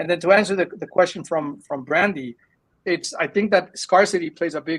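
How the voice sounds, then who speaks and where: This is a man with a high pitch. His pitch varies in an ordinary way. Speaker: tech startup founder. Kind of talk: interview. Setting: live video show. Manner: fast; halting, many fillers.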